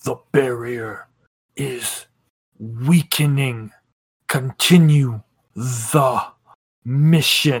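A man puts on a character voice at a medium pitch. He talks at a very slow pace with long, frequent pauses. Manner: cold, commanding, menacing.

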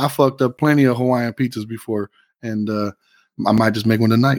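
A man with an ordinary speaking voice talks at a fairly quick pace with ordinary pitch variation. The sound is dry and close, with no echo. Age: 40s. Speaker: podcast co-host and real estate agent. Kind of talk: casual chat.

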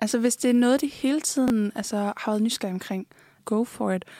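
Dry and close with no echo, the very clean recording has a silent background. A woman with a dark, mellow tone talks at a moderate pace with fairly even intonation. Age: 20s. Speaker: OnlyFans creator. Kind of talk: interview. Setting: studio.

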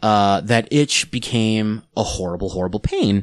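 A man with a plain, everyday voice speaks at a moderate pace and medium pitch. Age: 30s. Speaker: podcast co-host. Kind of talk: casual chat.

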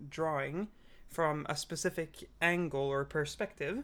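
A fairly slow pace from a woman. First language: not English. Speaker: podcast co-host. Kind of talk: casual chat. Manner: hesitant, many fillers.

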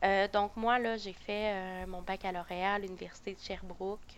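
A woman's medium-pitched voice, monotone and flat. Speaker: psychoeducator. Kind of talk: casual chat.

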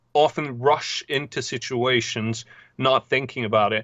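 A man with a Norwegian accent, medium pitch, ordinary pitch variation and a fairly slow pace. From southern Norway. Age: 30s. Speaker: novelist. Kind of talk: casual interview.

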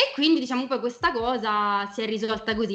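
The speaker is a woman with a fairly high pitch. Noticeable background noise runs through the clip. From Italy. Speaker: film and TV critic. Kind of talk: casual chat. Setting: live stream.

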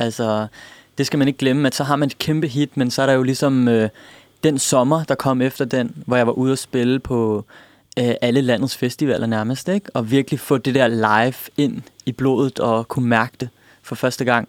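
A man with an ordinary speaking voice and medium pitch talks at a moderate pace with fairly even intonation, the sound dry and close with no echo. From Denmark. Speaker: pop musician. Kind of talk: radio interview. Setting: radio studio.

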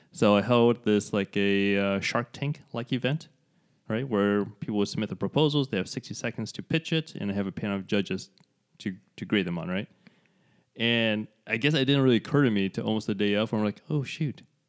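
At a fairly quick pace, an unremarkable speaking voice with ordinary pitch variation comes through a very clean recording with a silent background and a dry, close sound with no echo. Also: man, fairly low pitch for a man. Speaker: podcast co-host and artist. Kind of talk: casual conversational podcast chat.

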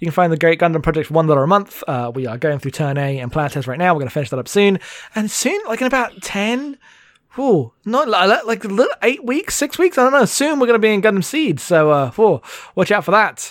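This man talks loudly with an energetic tone, his pitch high for a man. His pitch swings very widely at a fairly quick pace. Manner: loud, energetic.

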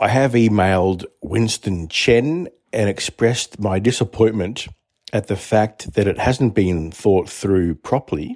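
In an Australian accent, a man with a fairly low pitch speaks at a fairly slow pace, the sound dry and close with no echo. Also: ordinary pitch variation. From Australia, Sydney. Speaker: podcast listener sending in a comment. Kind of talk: recorded voice message.

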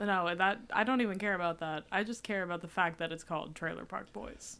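Vocal fry colors a woman's fairly low, bright, sharp voice as she talks at a fairly quick pace with ordinary pitch variation. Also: very clean recording, silent background. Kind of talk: casual chat. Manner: loud.

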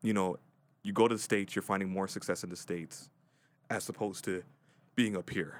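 In a very clean recording with a silent background, the words come at a moderate pace. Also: man. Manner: halting.

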